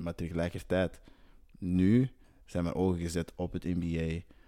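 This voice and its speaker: This man speaks with a very deep, low pitch. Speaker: professional basketball player. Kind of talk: interview.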